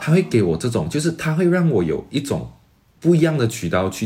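Dark, mellow, somewhat breathy male voice with very wide pitch swings and a moderate pace. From Malaysia. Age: 20s. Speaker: graduate student and entrepreneur. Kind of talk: interview.

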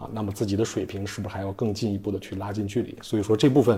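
The voice has a dark, mellow tone and is somewhat breathy. It moves at a very fast pace. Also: man. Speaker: designer turned entrepreneur, executive. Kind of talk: interview answers. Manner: hesitant, many fillers.

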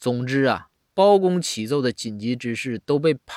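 Set against a quiet background, a natural reading voice carries lively intonation.

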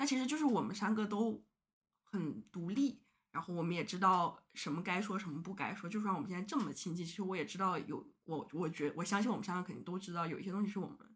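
Somewhat breathy and at a medium pitch, a woman speaks at a very fast pace with lively intonation. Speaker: podcast guest. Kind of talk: casual chat.

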